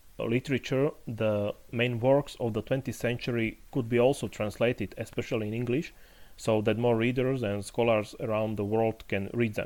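A man with a Slovak accent speaks at medium pitch with fairly even intonation. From Slovakia, Poprad. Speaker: literary critic and university lecturer. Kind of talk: interview. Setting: remote call.

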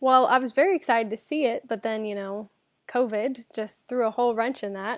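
With an American accent, a woman speaks at a fairly quick pace and fairly high pitch with ordinary pitch variation on a very clean recording with a silent background. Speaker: Disney fan, former theme park and cruise worker. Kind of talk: casual chat.

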